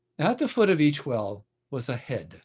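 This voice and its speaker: A man's somewhat breathy, fairly high voice at a very slow pace, with very wide pitch swings over a quiet background. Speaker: storyteller. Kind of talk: storytelling, folktale telling to a live audience.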